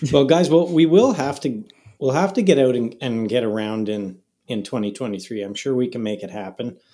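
With a Canadian accent and an unremarkable speaking voice, a man talks at a fairly quick pace and medium pitch, his intonation lively. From Canada, Ottawa area. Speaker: golf glove company co-founder. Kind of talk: casual chat.

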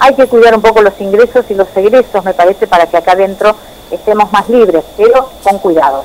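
A woman talks at a fairly quick pace with a medium pitch and ordinary pitch variation. Her loudness stays very even over noticeable background noise. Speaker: journalist. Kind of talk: radio interview.

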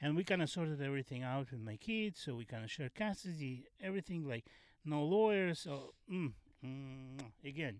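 Speaking at a moderate pace with a Russian accent, a man with a fairly high pitch uses lively intonation. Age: 50s. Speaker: stand-up comedian. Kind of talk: casual chat. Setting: in a van. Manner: halting.

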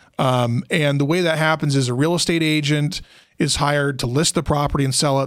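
Speaking with an ordinary speaking voice, a man moves at a fairly quick pace with fairly even intonation. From Utah (Logan). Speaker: probate attorney. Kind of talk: casual interview.

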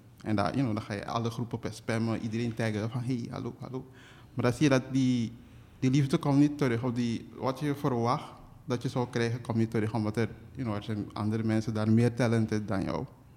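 A man with a Surinamese accent, dark and mellow in tone, at a fairly quick pace with fairly even intonation. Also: medium pitch for a man. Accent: Surinamese Dutch. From Suriname, interior. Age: 20s. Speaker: illustrator and cartoonist. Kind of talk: casual interview.

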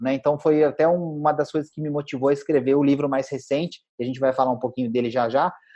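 A man speaks at a fairly high pitch in a dark, mellow tone. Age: 40s. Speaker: financial educator and author. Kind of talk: interview chat.

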